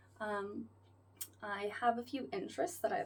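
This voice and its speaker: A woman's fairly high voice with an American accent. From US South, South Florida (Fort Lauderdale). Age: 20s. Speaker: vlogger, flight attendant. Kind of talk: casual vlog talk to camera. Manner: casual, halting with fillers.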